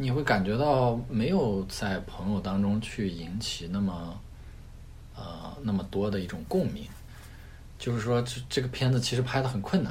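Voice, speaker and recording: A fairly low-pitched, somewhat breathy male voice with lively intonation, a moderate pace and audible room echo. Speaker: rock climber and product manager. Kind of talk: casual interview chat.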